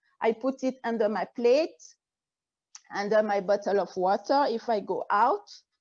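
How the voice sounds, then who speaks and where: Speaking at a moderate pace, a woman with a French accent uses a fairly high pitch. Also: ordinary pitch variation. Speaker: naturopathic physician and energy healer. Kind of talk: interview. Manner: halting.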